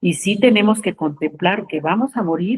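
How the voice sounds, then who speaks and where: This woman's voice is somewhat breathy, recorded with a dry, close sound and no echo. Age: 70s. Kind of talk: spiritual talk. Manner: informal, conversational.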